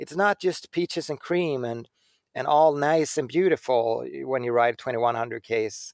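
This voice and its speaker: A man of medium pitch with a Swedish accent talks at a moderate pace, the sound dry and close with no echo on a very clean recording with a silent background. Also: ordinary pitch variation. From Sweden. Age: 40s. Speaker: bicycle designer. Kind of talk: casual interview. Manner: halting, repeats words.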